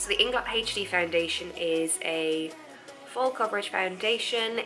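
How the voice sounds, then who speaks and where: Music plays in the background as a woman talks. She has a medium pitch and keeps a moderate pace. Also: ordinary pitch variation. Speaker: makeup YouTuber. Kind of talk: makeup tutorial talk to camera.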